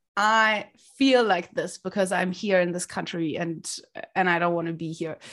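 A woman with a German accent talks at a moderate pace, her pitch medium with ordinary variation. The recording is very clean, the background silent. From Germany, Berlin. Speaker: sales community founder. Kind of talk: interview.

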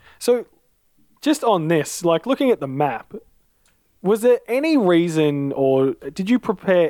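A man speaks at a moderate pace in a dark, mellow tone, his pitch swinging very widely, with a dry, close sound and no echo. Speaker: player. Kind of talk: casual chat.

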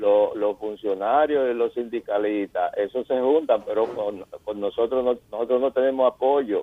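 An ordinary speaking voice from a man, medium in pitch, fairly slow, with fairly even intonation. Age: 60s. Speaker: caller, retiring doctor. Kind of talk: call-in complaint.

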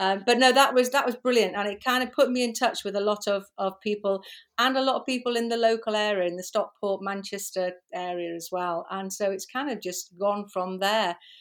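At a fairly quick pace, a woman speaks at medium pitch in a very clean recording with a silent background. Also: ordinary pitch variation. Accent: Liverpool. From Liverpool, England. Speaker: pet photographer. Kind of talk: casual interview chat.

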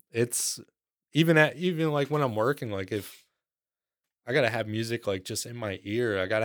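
A man at a medium pitch with lively intonation and a moderate pace, on a very clean recording with a silent background. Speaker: rock musician, guitarist and bassist. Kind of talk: casual interview chat. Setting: recorded at host's house. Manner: quiet, not loud by habit.

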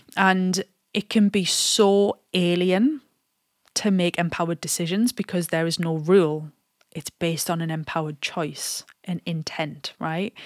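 The speech comes at a fairly slow pace with fairly even intonation, in an ordinary speaking voice. The recording is very clean, with a silent background and a dry, close sound with no echo. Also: woman, fairly low pitch for a woman. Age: 30s. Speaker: fitness coach and podcast host. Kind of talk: solo podcast monologue.

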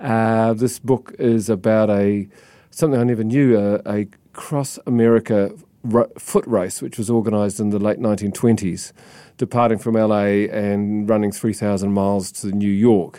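A man with a New Zealand accent, a fairly low pitch and a dark, mellow tone, speaking at a moderate pace with fairly even intonation in a very clean recording with a silent background. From New Zealand, Christchurch. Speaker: book publisher. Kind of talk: interview. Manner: halting.

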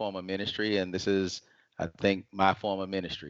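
A normal speaking voice with an American accent at a fairly quick pace. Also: man. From US South, Atlanta, Georgia. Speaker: financial advisor. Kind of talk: interview, explaining finances.

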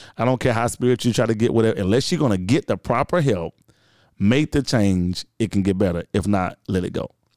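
Speaking at a fairly quick pace, a man with a Southern US accent is heard in a dry, close recording with no echo. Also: medium pitch for a man, ordinary pitch variation, very clean recording, silent background. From Georgia, US South. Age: 30s. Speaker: radio host and podcaster. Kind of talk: casual chat.

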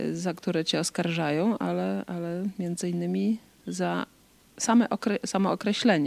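At a moderate pace, the speech comes through as a dry, close sound with no echo on a very clean recording with a silent background. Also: woman. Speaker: co-host interviewer. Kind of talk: casual chat.

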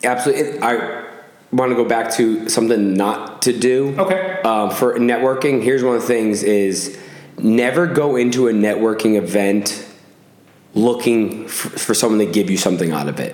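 With an American accent, a man talks at a moderate pace and medium pitch with lively intonation, amid audible room echo and noticeable background noise. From Massachusetts. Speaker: podcast host. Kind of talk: casual chat.

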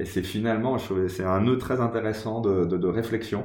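Speaking at a fairly quick pace, a man uses fairly even intonation in a dark, mellow tone. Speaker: podcast host and interviewer. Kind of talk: interview. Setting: recording at the guest's home.

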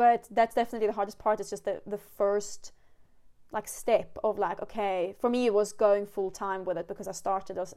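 With a Swedish accent, a woman of medium pitch speaks at a fairly quick pace in a dark, mellow tone and flat, monotone intonation on a very clean recording with a silent background. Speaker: wildlife photographer and podcast host. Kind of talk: casual interview chat.

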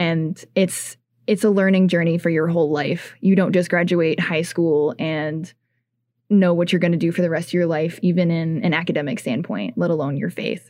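A woman's plain, everyday voice at a fairly low pitch, with an American accent, fairly even intonation and a moderate pace, over a quiet background. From Ohio, small town. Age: 20s. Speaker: student group president. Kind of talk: casual radio interview.

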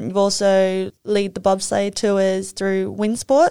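With an Australian accent, a woman at medium pitch speaks at a moderate pace and fairly even intonation on a very clean recording with a silent background. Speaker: podcast host, former figure skater. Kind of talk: interview.

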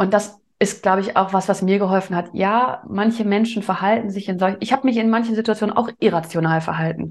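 A woman with an ordinary speaking voice talks at a fairly quick pace and medium pitch, with fairly even intonation and hardly any pauses, against a quiet background. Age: 20s. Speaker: business owner. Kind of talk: interview.

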